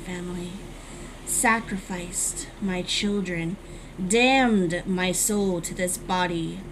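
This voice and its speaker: Over loud background noise, a female-sounding voice does a put-on character voice at a middle pitch. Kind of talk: creepypasta reading. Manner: broken, halting speech.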